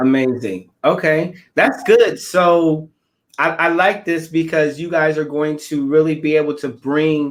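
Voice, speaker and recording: Using an ordinary speaking voice, a man with an American accent talks at a fairly slow pace, pitched fairly high, with fairly even intonation. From Omaha, Nebraska, US Midwest. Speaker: live show host. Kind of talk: interview. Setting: Facebook live video.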